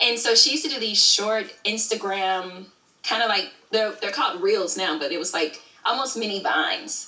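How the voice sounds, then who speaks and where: A woman with an American accent, fairly high in pitch, her animated tone and lively intonation at a moderate pace, amid noticeable background noise and audible room echo. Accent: Southern, toned down here. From Alabama, US South. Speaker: YouTube creator and studio owner. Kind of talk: interview.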